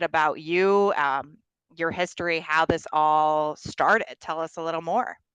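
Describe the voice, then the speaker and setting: A woman with an American accent speaks at a fairly slow pace, the sound dry and close with no echo against a quiet background. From US Northeast, Bronx, New York. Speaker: podcast host. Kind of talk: interview. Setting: video call.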